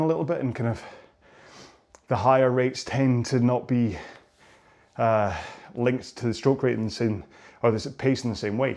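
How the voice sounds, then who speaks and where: With ordinary variation in pitch, a man talks at a medium pitch. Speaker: rowing coach. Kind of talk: workout instruction. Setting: on a rowing machine. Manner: fast.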